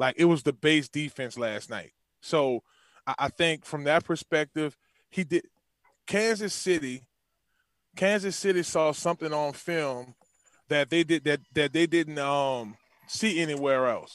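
A man speaks at a fairly slow pace with a New Orleans accent, using ordinary pitch variation and long, frequent pauses, in a dry, close recording with no echo and a quiet background. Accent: Southern US (New Orleans). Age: 30s. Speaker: former NFL player and football coach. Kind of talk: casual chat. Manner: animated.

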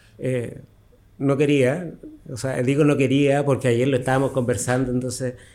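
Speaking at a moderate pace and medium pitch, a man has a dark, mellow tone and monotone, flat intonation, with audible room echo. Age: 50s. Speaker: costume designer and tailor. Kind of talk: interview. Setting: his workshop.

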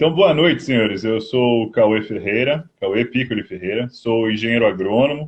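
His voice sits at a medium pitch, and the man's intonation rises and falls in a lively way. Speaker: agronomist. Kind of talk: interview. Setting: video call on a mobile phone. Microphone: phone, video freezing.

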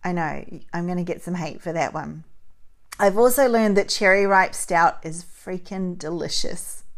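At a moderate pace, a woman with a normal speaking voice talks at medium pitch, with ordinary pitch variation and big swings in loudness. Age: 40s. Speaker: podcast host. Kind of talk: solo podcast monologue.

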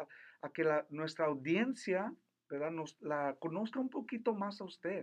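A man's voice with lively intonation. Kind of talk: religious radio talk.

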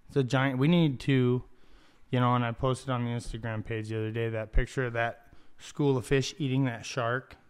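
A man speaks at a fairly quick pace with fairly even intonation and medium pitch, in an ordinary speaking voice. The recording is very clean, with a silent background. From Ocotillo, US Southwest. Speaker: podcast co-host. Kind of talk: casual chat. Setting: studio.

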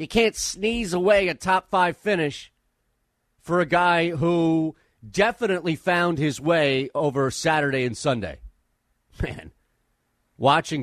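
A man has a normal speaking voice, fairly high in pitch, with lively intonation and a fairly slow pace. The sound is dry and close, with no echo. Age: 40s. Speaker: sports radio host. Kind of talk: sports talk radio. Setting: studio.

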